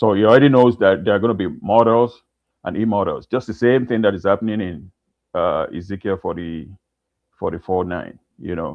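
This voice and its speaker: This man's voice sits fairly low, with a non-native accent. He talks at a fairly quick pace and with ordinary pitch variation. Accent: foreign. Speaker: caller. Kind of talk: heated debate. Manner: halting.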